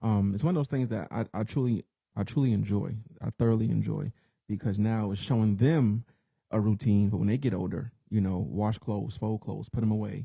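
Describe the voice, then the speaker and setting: A man talks at a fairly quick pace in a fairly low pitch with ordinary pitch variation. His dark, mellow tone is somewhat breathy, and the sound is dry and close, with no echo. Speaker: podcast co-host. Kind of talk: casual chat.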